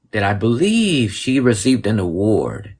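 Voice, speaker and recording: A man talks with an American accent at a medium pitch. His voice is somewhat breathy. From Mexico, raised in the US from childhood. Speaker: podcast host. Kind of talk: casual livestream conversation.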